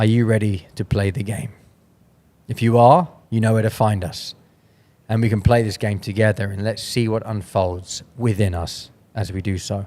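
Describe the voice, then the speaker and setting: Fairly low in pitch, a man's dark, mellow voice keeps a fairly even intonation. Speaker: podcast host. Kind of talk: casual interview chat. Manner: fast.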